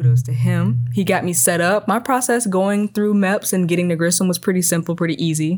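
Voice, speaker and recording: Speaking in a plain, everyday voice, a woman with an American accent goes fairly quickly with hardly any pauses and lively intonation. Her pitch is fairly low and her loudness very even. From US Midwest, Chicago south suburbs. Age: 20s. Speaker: air force airman. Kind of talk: casual interview.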